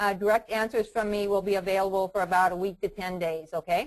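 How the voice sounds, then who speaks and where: Against a quiet background, a woman speaks at a medium pitch. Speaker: trading educator. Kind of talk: webinar lecture. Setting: online webinar. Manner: fast.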